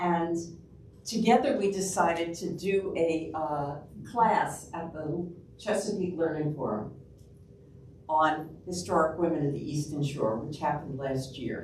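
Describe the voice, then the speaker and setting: With a New York accent, a woman at a fairly low pitch talks at a fairly slow pace with lively intonation, and room echo is audible. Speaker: public health researcher and local history lecturer. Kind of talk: public lecture. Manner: casual, with frequent fillers.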